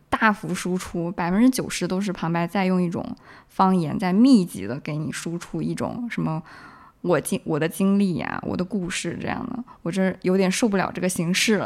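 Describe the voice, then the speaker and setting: A woman speaks at a moderate pace with medium pitch and ordinary pitch variation. Hers is an unremarkable speaking voice. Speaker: film festival goer. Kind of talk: casual chat.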